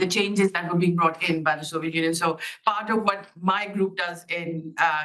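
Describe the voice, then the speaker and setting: Loud and bright with a sharp tone, a woman speaks at a fairly low pitch with fairly even intonation. Audible room echo surrounds her voice. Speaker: academic researcher. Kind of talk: conference talk. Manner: fast.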